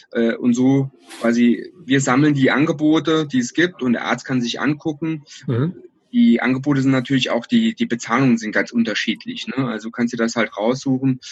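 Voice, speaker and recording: This is an ordinary speaking voice: a man at a medium pitch, moving at a moderate pace with ordinary pitch variation. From Saarland, Germany. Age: 30s. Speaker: entrepreneur. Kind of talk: interview. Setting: phone or video call.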